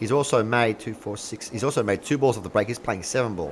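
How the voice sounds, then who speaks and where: This man speaks with an Australian accent. His tone is animated. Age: 40s. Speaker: pool commentator. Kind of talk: live commentary. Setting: live stream.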